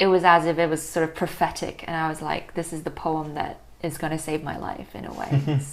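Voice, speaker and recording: Over noticeable background noise, a woman with a very deep, low pitch talks at a fairly quick pace in a monotone, flat intonation, her loudness swinging widely. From Hong Kong. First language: Chinese. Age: 20s. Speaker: poet. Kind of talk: casual chat.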